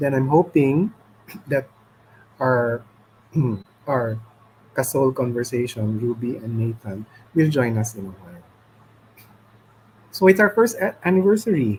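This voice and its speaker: A somewhat breathy man at medium pitch, with lively intonation, a fairly slow pace and long, frequent pauses. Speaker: livestream host. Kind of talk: casual chat. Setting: live stream. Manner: halting.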